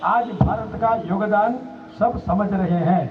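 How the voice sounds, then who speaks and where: A man's high voice carries audible room echo, with noticeable noise in the background. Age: 70s. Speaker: senior organization leader. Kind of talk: public speech. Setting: outdoor rally ground with audience.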